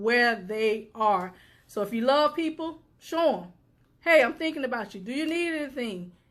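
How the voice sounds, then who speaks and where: Loud and animated in tone, a woman speaks with lively intonation at a high pitch. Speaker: suicide prevention advocate and live show host. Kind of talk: motivational talk.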